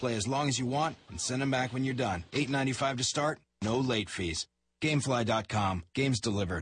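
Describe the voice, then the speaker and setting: A man's plain, everyday voice at a medium pitch and a fairly quick pace, with ordinary pitch variation. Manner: wisecracking, playful and teasing, jumping in over others and riffing on each line.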